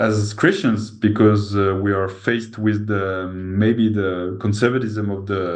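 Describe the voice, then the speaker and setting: In a French accent, a man talks with fairly even intonation at a fairly low pitch, with audible room echo around him. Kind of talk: interview conversation. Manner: halting.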